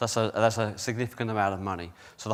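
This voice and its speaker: With a British accent, the speaker talks at a very fast pace on a very clean recording with a silent background. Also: man. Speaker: company executive presenter. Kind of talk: conference presentation. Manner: hesitant, many fillers.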